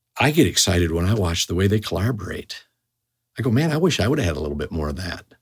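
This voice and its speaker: Very fast pace from a somewhat breathy man, very deep and low in pitch, with very wide pitch swings. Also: very clean recording, silent background. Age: 50s. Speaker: pastor. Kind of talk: interview.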